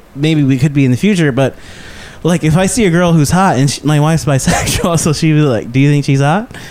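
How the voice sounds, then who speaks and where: Over noticeable background noise, a man with a fairly high pitch talks fairly quickly, keeping his loudness very even and his pitch variation ordinary. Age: 30s. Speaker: stand-up comedian. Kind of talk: casual chat.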